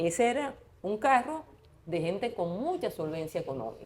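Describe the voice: A woman talks at a moderate pace with a medium pitch, a slightly husky edge and big pitch swings.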